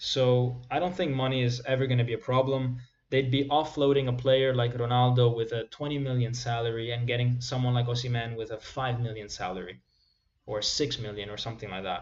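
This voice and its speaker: A man with an Italian accent, medium pitch and fairly even intonation at a fairly quick pace, with audible room echo. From Italy. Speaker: football YouTuber. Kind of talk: live stream chat. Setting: live stream. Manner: casual, conversational. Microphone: possible mic or volume problem.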